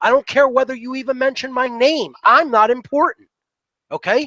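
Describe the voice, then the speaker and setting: An animated South Philadelphia accent at a moderate pace, with a dry, close sound and no echo. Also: man. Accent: South Philly. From US Northeast, South Philadelphia. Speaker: natural law teacher, guest. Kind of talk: interview monologue. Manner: animated, emphatic.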